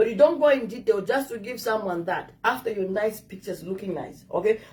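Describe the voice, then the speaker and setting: A woman with an African accent talks at a fairly quick pace. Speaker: dating advice vlogger. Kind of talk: casual advice talk to camera.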